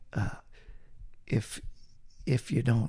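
Here is a man with a dark, mellow tone and a fairly low pitch. His voice shows vocal fry. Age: 70s. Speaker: retired assistant pastor. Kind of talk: casual interview conversation.

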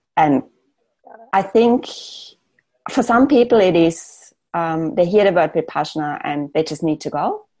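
A woman with a German accent speaks fairly slowly in a dark, mellow tone. Her speech has long, frequent pauses. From Austria. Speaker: architect. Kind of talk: casual interview chat. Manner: hesitant, many fillers.

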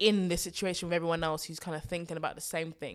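Recorded very cleanly against a silent background, a woman with a London accent speaks at a fairly low pitch. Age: 20s. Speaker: personal finance podcast host. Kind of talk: solo podcast Q&A. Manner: animated.

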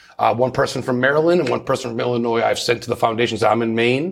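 A man talks very fast at a medium pitch with fairly even intonation, against noticeable background noise. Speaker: paranormal investigator and radio host. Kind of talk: casual interview chat. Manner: friendly, chatty.

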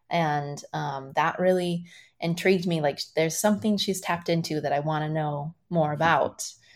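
With an unremarkable speaking voice, a woman talks at a moderate pace and fairly low pitch with fairly even intonation, on a very clean recording with a silent background. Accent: American. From Iowa, US Midwest. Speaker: dancer and choreographer. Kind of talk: interview.

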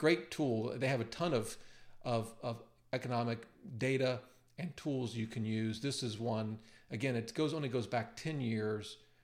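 With fairly even intonation, an ordinary speaking voice holds a moderate pace. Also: man, medium pitch for a man. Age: 50s. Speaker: personal finance YouTuber and author. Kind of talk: screen-share tutorial. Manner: casual with frequent fillers and repetitions.

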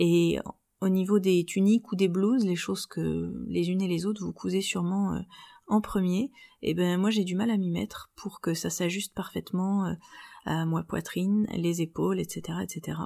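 Speech moves at a fairly slow pace. The recording is very clean, with a silent background. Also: woman. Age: 30s. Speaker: sewing podcaster and blogger. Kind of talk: solo podcast monologue.

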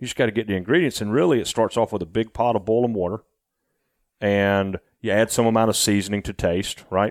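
A man with a Southern US accent, fairly low in pitch, ordinary pitch variation, dry close sound without echo, very clean recording against a silent background. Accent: Southern US drawl. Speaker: rice farmer and former racing engineer. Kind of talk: casual interview conversation.

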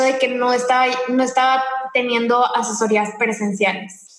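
A woman speaks in a high pitch with fairly even intonation, and audible room echo surrounds her. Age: 20s. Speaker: entrepreneur and image consultant. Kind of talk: interview. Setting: remote call from home.

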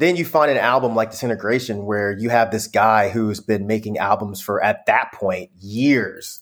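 A man with a plain, everyday voice speaks with an American accent. He keeps a moderate pace, hardly any pauses, and ordinary pitch variation. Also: medium pitch for a man. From US South, Georgia (Conyers), earlier California. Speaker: music critic and YouTuber. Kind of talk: casual chat.

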